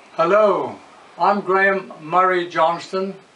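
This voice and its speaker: A man's voice over noticeable background noise. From South Africa, Bloemfontein. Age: 80s+. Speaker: family history narrator. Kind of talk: oral history recollection.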